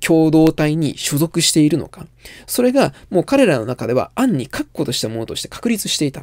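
A man talks at an even, medium speed with little noise around him. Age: 20s. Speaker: literature commentator. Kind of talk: lecture. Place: home room.

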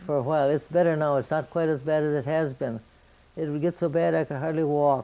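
A dark, mellow tone with fairly even intonation at a fairly quick pace. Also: woman, very deep, low pitch for a woman. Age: 80s+. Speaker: grandmother. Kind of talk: interview answer. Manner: conversational, plain-spoken. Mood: calm, matter-of-fact. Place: home room. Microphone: old recording.

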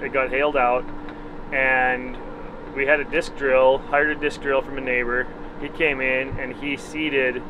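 Speech at a moderate pace comes through noticeable background noise. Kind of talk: casual vlog commentary. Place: farm machine. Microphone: phone near.

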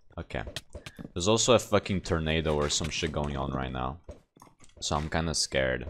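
At a fairly quick pace broken by long, frequent pauses, a man talks in a very deep, low voice with vocal fry and ordinary pitch variation. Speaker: gaming streamer. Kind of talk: gameplay commentary. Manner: casual.

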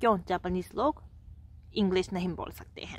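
The woman's voice is somewhat breathy. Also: dry sound with no echo. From Japan, Fukuoka (Hakata); Japan. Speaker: language teacher YouTuber; language teacher vlogger. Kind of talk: tutorial. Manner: hesitant, with fillers. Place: garden. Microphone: handheld.

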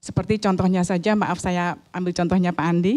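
A dark, mellow female voice over a quiet background. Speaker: author. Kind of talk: talk show interview. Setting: stage with audience. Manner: hesitant, many fillers. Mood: warm, reflective. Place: hall. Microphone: handheld.

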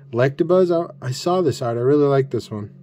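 A man speaks with ordinary pitch variation. Faint music plays in the background. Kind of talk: casual commentary. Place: home room.

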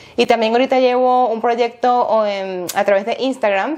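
Here a woman talks at a moderate pace. Her pitch is fairly high, with ordinary pitch variation. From Venezuela, Maracay; Venezuela. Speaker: physiotherapist; guest. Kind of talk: interview. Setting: at her home. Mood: warm, smiling, proud. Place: home room.

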